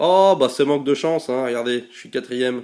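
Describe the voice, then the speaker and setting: Delivery comes at a moderate pace with ordinary pitch variation. The tone is dark and mellow. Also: man. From Belgium. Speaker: gaming YouTuber. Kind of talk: gameplay commentary. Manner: casual, many hesitations (euh).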